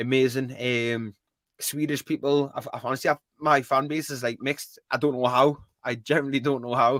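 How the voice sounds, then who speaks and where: A man with a strong Geordie accent talks fairly quickly at a medium pitch, in a very clean recording with a silent background and dry, close sound with no echo. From northeast England (Newcastle area). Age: 20s. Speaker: gaming streamer. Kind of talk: casual chat. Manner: fast; animated.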